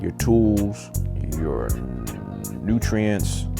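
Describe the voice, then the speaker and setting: Music plays in the background as a man talks at a fairly slow pace. His pitch is very deep and low. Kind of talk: stream-of-consciousness vlog monologue. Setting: home recording with a microphone.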